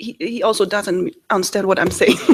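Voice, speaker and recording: A woman with a non-native accent speaks at a medium pitch with lively intonation. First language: not English. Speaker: committee member. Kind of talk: meeting discussion. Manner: halting.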